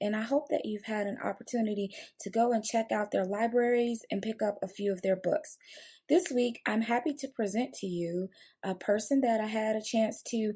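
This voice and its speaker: Recorded very cleanly against a silent background, a woman with a fairly high pitch and a dark, mellow tone sounds somewhat breathy, keeping a moderate pace and ordinary pitch variation. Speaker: podcast host. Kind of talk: podcast interview host.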